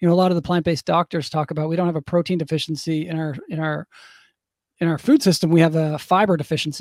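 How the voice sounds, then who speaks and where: A man with a fairly high pitch at a very fast pace, dry and close with no echo, on a very clean recording with a silent background. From Newfoundland, Canada (St. John's). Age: 40s. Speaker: vegan advocate, author and speaker. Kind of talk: casual interview chat.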